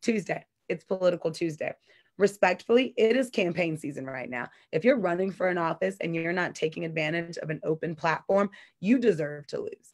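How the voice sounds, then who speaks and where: A woman with an American accent, a normal speaking voice, fairly low pitch, lively intonation and a fairly quick pace, against a quiet background. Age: 30s. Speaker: community activist. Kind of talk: interview.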